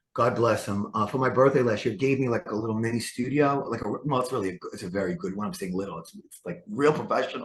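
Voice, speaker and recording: Very fast and with hardly any pauses, a man speaks in a New York accent at a medium pitch. His intonation is lively, and his loudness swings widely. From New York City. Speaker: author. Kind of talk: interview. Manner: halting.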